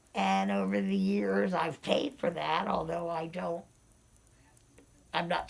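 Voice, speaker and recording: A woman speaks at a fairly slow pace. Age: 60s. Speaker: interviewee with hearing loss. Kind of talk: casual interview.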